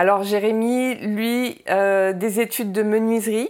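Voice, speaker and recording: A woman speaks at a very slow pace with a medium pitch. Her intonation stays fairly even. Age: 40s. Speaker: restaurant owner. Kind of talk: interview testimony. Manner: halting, many hesitations.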